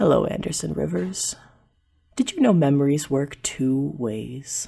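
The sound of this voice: Someone puts on a booming character voice, pitched low-to-middle and delivered at a moderate pace.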